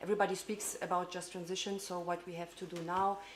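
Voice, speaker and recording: Audible room echo surrounds a woman speaking with a German accent. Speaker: parliamentary staff member. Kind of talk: conference speech. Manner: halting.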